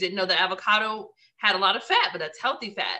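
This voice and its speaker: A woman with a normal speaking voice talks at a medium pitch and a fairly quick pace. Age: young. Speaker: podcast co-host. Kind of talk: casual chat.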